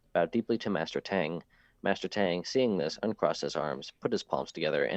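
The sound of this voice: This is an unforced reading voice. It reads along without strain.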